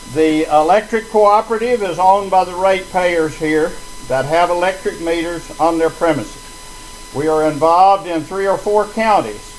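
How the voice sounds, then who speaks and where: A man talks at a fairly slow pace with a high pitch. Noticeable background noise runs under his speech. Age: 80s+. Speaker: resident speaking at a town hall. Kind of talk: public meeting speech. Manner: halting, many fillers.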